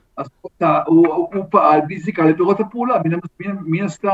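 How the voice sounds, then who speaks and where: Ordinary pitch variation marks speech delivered at a fairly slow pace. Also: man. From Israel. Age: 60s. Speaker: professor. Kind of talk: interview.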